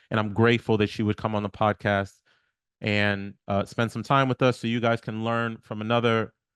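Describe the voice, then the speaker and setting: A man talks at a fairly quick pace in a fairly low voice with monotone, flat intonation. The sound is dry and close with no echo, over a quiet background. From New York, Haitian family. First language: Haitian Creole. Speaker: podcast host. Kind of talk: podcast interview, casual conversation; podcast intro.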